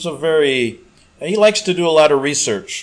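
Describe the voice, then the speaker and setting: A man speaks in an ordinary speaking voice. His pace is moderate. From US Midwest, Chicago. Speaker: talk radio host. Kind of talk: casual monologue reading listener email. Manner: rambling, conversational with many fillers.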